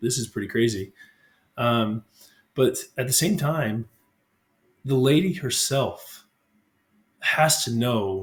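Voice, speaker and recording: There is some breathiness in the voice. The pitch rises and falls in a lively way. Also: man. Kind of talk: religious reflection talk to camera. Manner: hesitant, unscripted.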